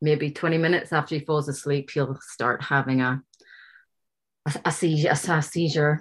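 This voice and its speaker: In an Irish accent, a woman speaks at a very deep, low pitch and a moderate pace. Her intonation is monotone and flat against a quiet background. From Ireland. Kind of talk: casual chat. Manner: laughs often.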